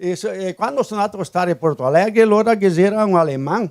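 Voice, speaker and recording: Speaking at a fairly quick pace, a man with a high-pitched voice uses lively intonation. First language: Talian (Venetian Italian dialect) (speaking Portuguese). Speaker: interview guest. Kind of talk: casual interview. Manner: halting.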